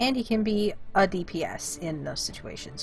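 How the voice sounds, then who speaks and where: There is music in the background. A woman speaks at a fairly slow pace. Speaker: gaming streamer. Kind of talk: let's play commentary. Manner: animated.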